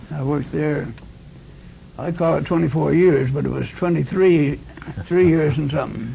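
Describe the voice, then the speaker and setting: A man's voice with fairly even intonation and long, frequent pauses, amid audible room echo and noticeable background noise. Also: fairly high pitch for a man, moderate pace. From Nova Scotia, Canada. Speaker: war veteran. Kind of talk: interview. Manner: halting.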